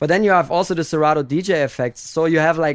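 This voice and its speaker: Heard on a very clean recording with a silent background, a man with a German accent speaks at a fairly high pitch with ordinary pitch variation. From Germany. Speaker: DJ. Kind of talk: interview. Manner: halting.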